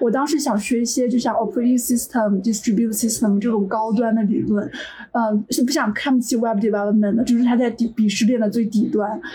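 Noticeable background noise sits under speech at a fairly quick pace, with fairly even intonation and very even loudness. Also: woman, fairly high pitch for a woman. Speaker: software engineer. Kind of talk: casual chat.

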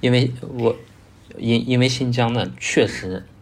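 A man's medium-pitched, somewhat breathy voice at a fairly slow pace. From northwest China, Gansu. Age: 30s. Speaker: landscape photographer and photo tour leader. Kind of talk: podcast interview.

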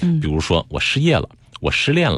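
The pitch swings very widely. Vocal fry runs through the voice. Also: man. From Beijing. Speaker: psychotherapist. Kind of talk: interview. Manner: clear articulation, trained delivery.

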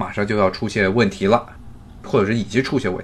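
Clear background noise fills the recording. Over it, a man is talking. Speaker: podcast host. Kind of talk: solo commentary. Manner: conversational, many fillers.

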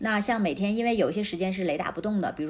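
Ordinary pitch variation marks a woman's speech. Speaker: entrepreneur, former journalist. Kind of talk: interview conversation.

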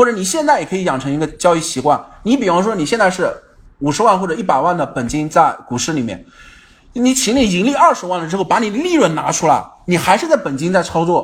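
A man talks very fast at a high pitch, his voice swinging very widely in pitch. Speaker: stock market livestream host. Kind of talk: livestream market commentary. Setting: online livestream. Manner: frequent filler particles.

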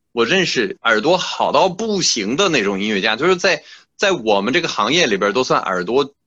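His pitch swings very widely, and vocal fry runs through his voice. The man keeps a moderate pace. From France. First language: French (speaking Chinese). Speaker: classical musician. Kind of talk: interview. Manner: halting, many fillers.

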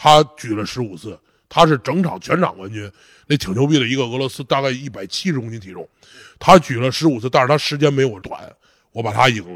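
A man with a normal speaking voice, lively intonation and big swings in loudness, on a very clean recording with a silent background. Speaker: strongman athlete. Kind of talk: casual interview chat. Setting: training gym.

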